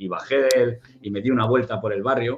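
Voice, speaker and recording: This is a man talking. His pitch is medium. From Spain, Barcelona. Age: 50s. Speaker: security consultant and ex-soldier. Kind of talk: interview. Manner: halting.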